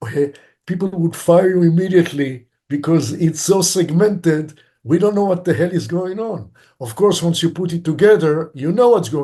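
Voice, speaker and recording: A man with a dark, mellow tone and fairly high pitch speaks at a moderate pace with ordinary pitch variation. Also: quiet background. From Israel, Tel Aviv. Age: 60s. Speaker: film director. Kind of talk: interview.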